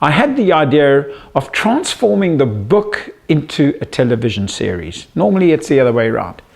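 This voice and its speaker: Noticeable background noise sits behind a man with a South African accent and a fairly high voice who speaks at a moderate pace. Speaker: psychologist and media entrepreneur. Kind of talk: self-introduction pitch to camera.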